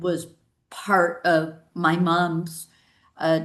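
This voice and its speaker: A woman's fairly low, monotone voice with flat intonation and audible room echo. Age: 60s. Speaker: sales executive and author. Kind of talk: interview. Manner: halting.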